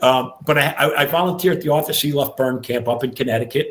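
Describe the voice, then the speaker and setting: A very fast, somewhat breathy male voice, pitch varying in an ordinary way. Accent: New York. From New York, Long Island. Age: 60s. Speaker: retired fire captain. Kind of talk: podcast interview. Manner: halting, many repeated words.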